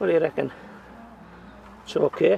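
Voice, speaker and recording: Dry and free of echo, this recording of a man carries light background noise. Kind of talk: casual gardening commentary. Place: garden. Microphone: camera far.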